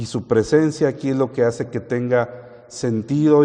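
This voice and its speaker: A man talks at medium pitch in a dark, mellow tone. His intonation is fairly even. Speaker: preacher. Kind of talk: sermon.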